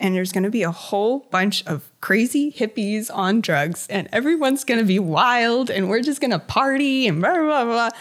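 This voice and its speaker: In an ordinary speaking voice, a woman with an American accent uses lively intonation on a very clean recording with a silent background. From Virginia, US (Hampton Roads). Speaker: painter. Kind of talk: interview conversation.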